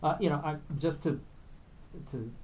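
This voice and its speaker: A man's voice with audible room echo. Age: 60s. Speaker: musician and filmmaker. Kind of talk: radio interview. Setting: radio studio.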